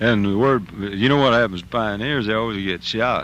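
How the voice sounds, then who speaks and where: Using a normal speaking voice, a man talks at a moderate pace with a fairly low pitch and ordinary pitch variation. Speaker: country music singer. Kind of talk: radio interview answer. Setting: recorded on a tour bus. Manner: casual, humorous, laid-back.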